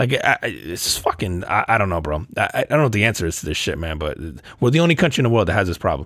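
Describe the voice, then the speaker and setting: In an animated tone, a man with a fairly low voice talks at a very fast pace with very wide pitch swings. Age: 30s. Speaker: podcast co-host. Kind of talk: casual chat.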